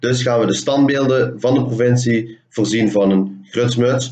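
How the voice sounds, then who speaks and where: A man with a Limburg accent speaks in a dark, mellow tone with fairly even intonation, and there is audible room echo. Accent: Limburgish-tinged Dutch. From Hoensbroek, Limburg, Netherlands. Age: 20s. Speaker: communication student presenting thesis. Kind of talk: presentation of project findings. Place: home room. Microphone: webcam.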